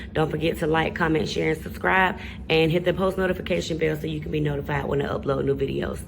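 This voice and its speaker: Noticeable background noise and audible room echo surround the recording. A woman talks at a very fast pace. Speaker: nail technician tutorial creator. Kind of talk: voice-over tutorial.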